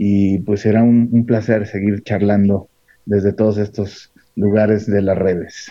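Fairly low in pitch, a man speaks at a fairly slow pace with very even loudness and monotone, flat intonation. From Mexico, Michoacán (Morelia). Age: 40s. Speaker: filmmaker. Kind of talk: casual interview chat.

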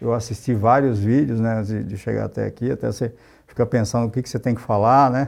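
Here is an unremarkable speaking voice from a man at medium pitch. He talks at a fairly quick pace with fairly even intonation. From São Paulo and Pernambuco, Brazil. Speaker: IT executive. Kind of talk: interview.

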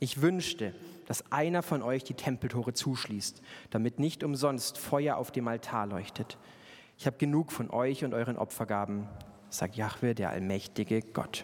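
A medium-pitched man at a moderate pace, with ordinary pitch variation. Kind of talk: sermon with humorous storytelling. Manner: animated, conversational, playful with self-deprecating humor; rhetorical, building from relatable anecdote to earnest exhortation.

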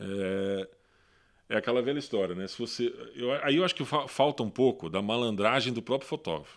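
A man speaks at a moderate pace with medium pitch and lively intonation, a plain, everyday voice. The recording is very clean, with a silent background. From Brazil, Paraná interior (Londrina). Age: 40s. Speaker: photo editor. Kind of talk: casual chat. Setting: at home.

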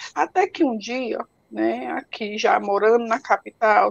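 A woman talks at a very slow pace, recorded with a dry, close sound and no echo. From Ceará, Brazil (interior). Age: 40s. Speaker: patient advocate with multiple sclerosis. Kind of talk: interview on a live stream. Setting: online live stream. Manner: halting, with repetitions.

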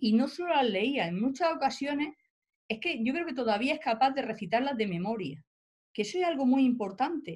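Talking fairly fast, a woman uses a high pitch and a lively, bouncing intonation. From Spain, Almería. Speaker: professor and writer. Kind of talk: interview. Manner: halting.

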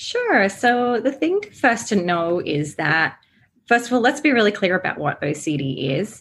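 With an Australian accent, a woman speaks at medium pitch and a moderate pace, her pitch swinging very widely. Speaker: therapist. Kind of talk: interview.

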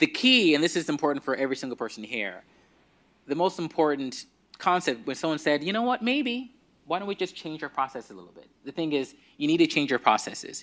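Very fast delivery with very wide pitch swings. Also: man. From Nigeria. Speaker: doctor and anti-racism speaker. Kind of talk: conference keynote talk. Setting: stage with audience.

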